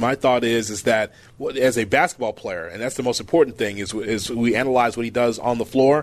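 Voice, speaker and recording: Fairly quickly, a man with an unremarkable speaking voice talks at a medium pitch with ordinary pitch variation. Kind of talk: radio host patter: a crisp news read, then a bright station ID and app plug.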